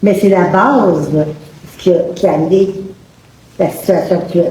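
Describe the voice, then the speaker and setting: Someone with a Quebec accent speaks amid audible room echo and noticeable background noise. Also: woman. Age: 70s. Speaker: audience member asking a question. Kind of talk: public debate question. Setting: public event with audience, no microphones.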